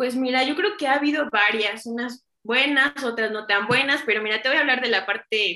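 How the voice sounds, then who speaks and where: A high-pitched woman at a fairly quick pace, with ordinary pitch variation and hardly any pauses. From Mexico, Chignahuapan, Puebla. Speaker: clinical lab director and chemist. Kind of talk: interview.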